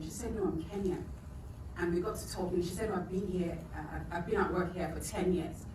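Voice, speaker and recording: Fairly quick speech from a woman, over noticeable background noise. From Nigeria. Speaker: writer and poet. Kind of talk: spoken introduction to audience. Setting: live event.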